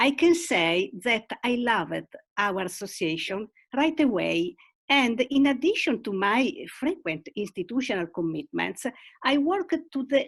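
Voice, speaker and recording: With an Italian accent, a woman speaks at a fairly slow pace. Her high voice makes very wide pitch swings. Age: 70s. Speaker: retired teacher and club leader. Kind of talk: video call interview.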